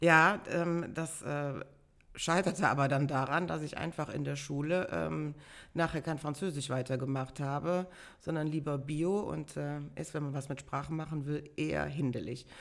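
Using fairly even intonation, a woman speaks at a moderate pace in a very deep, low pitch. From Bonn-Beuel, Germany. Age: 50s. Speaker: carnival organizer and pub owner. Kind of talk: casual interview. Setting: in person at her home.

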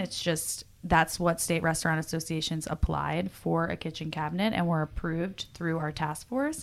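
A woman speaks in an ordinary speaking voice at a moderate pace, her pitch fairly low and her intonation fairly even, on a very clean recording with a silent background. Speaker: advocacy manager for an industry association. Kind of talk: casual interview.

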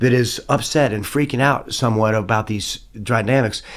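In a very clean recording with a silent background, a man with a Southern US accent speaks at a moderate pace. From US South. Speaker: songwriter and guitar player. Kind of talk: casual interview chat. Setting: studio.

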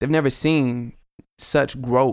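A man speaks in a Southern US accent at a medium pitch with fairly even intonation. The recording is very clean, with a silent background. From Chattanooga, Tennessee. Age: 20s. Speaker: rapper. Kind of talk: casual interview chat.

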